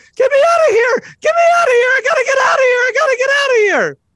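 Shouting at a very fast pace, the speaker uses a put-on character voice at an extremely high pitch. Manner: panicked, frantic.

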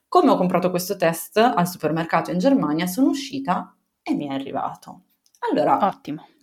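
Her pitch swings very widely as this woman talks in a somewhat breathy voice. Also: medium pitch for a woman, fairly quick pace. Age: 30s. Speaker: mother sharing birth story. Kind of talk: testimony. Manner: halting.

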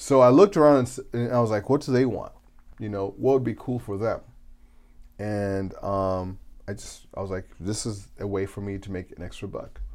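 A man speaks in an ordinary speaking voice at a fairly low pitch and a moderate pace, with ordinary pitch variation. His loudness swings a lot on a very clean recording with a silent background. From Zimbabwe, raised in US from age 8. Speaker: entrepreneur. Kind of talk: casual interview.

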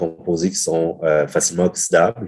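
A man speaks very slowly in a dark, mellow tone. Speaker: brewer and brewery co-owner. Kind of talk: casual interview. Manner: halting, many repetitions.

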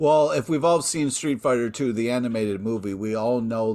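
A man at medium pitch with ordinary pitch variation, an ordinary speaking voice. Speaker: podcast co-host. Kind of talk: casual chat.

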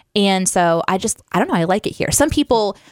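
Speaking at a fairly quick pace, a woman uses a medium pitch with an American accent. The sound is dry and close with no echo, on a very clean recording with a silent background. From Southwest Missouri, US Midwest. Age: 30s. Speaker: podcast co-host. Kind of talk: casual chat. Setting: studio.

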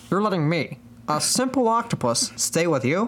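Putting on a nasal character voice, a man speaks at a high pitch and a moderate pace with very wide pitch swings, over clear background noise. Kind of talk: deliberately bad comic impression.

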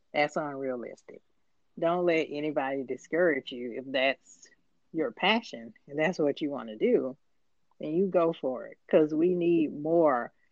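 A woman with an American accent and a very deep, low pitch, with ordinary pitch variation and big swings in loudness. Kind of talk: casual chat.

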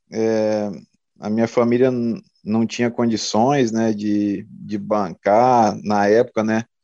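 A man speaking at a very slow pace. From Brazil, Mato Grosso interior. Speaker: retired football defender. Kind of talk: interview, casual chat. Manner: halting, many fillers.

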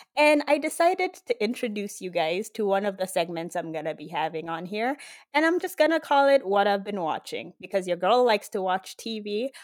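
A woman at a fairly quick pace with very wide pitch swings, in a very clean recording with a silent background. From Kenya, Nairobi. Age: 20s. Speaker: podcast host. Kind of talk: casual monologue. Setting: recording in bed at home. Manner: animated.

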